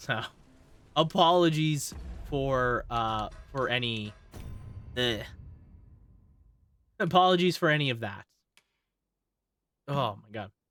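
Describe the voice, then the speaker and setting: A man at medium pitch talks at a very slow pace, with long, frequent pauses, lively intonation and big swings in loudness. Music plays in the background. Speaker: streamer. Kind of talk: live gameplay commentary. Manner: casual, halting.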